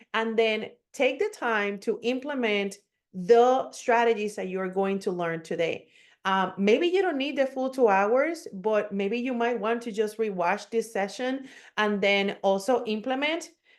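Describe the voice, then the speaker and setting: Fairly slow speech in a Puerto Rican accent, with ordinary pitch variation and a quiet background. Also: woman, fairly high pitch for a woman. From Puerto Rico. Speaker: digital marketing coach. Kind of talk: webinar presentation. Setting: online webinar.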